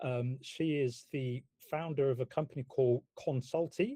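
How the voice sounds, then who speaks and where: A man with a British accent, fairly high-pitched, somewhat breathy and dark and mellow in tone, in a dry, close sound with no echo. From UK. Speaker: property investment company founder. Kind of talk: webinar presentation.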